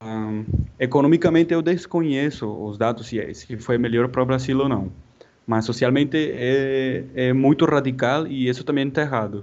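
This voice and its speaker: Speaking with a Spanish accent, this man keeps his voice at a medium pitch. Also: ordinary pitch variation, moderate pace. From Colombia, Santa Marta (Caribbean coast). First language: Spanish (speaking Portuguese). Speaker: mechanical engineer. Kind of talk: interview. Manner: halting.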